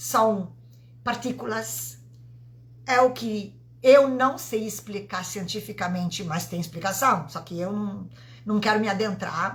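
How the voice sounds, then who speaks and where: With very wide pitch swings and vocal fry, a woman talks at a very slow pace amid audible room echo. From Italy. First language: Italian (speaking Portuguese). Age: 50s. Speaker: vibrational therapist. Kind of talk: live stream talk. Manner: halting.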